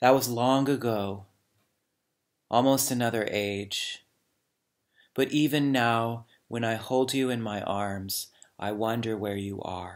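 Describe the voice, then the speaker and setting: With long, frequent pauses, a man talks at a very slow pace and fairly even intonation over a quiet background. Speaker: poet reading aloud. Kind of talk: poetry reading. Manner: slow, measured, hushed; contemplative, lyrical. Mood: calm, reflective. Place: home room. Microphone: webcam.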